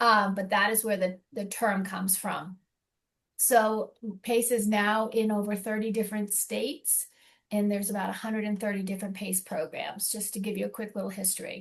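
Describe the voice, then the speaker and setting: Against a quiet background, a woman with a slight Boston accent talks at a medium pitch in a monotone, flat intonation, her voice somewhat breathy. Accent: slight Boston accent, rhotic on some words. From US Northeast, Boston. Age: 60s. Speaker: elder care program representative. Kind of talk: informational presentation. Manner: fast.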